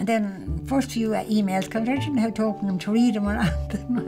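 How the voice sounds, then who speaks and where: Clear music plays in the background as a woman speaks with an Irish accent. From Ireland. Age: 80s+. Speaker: retiree learning internet skills. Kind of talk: documentary interview answer. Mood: warm, chatty, self-deprecating.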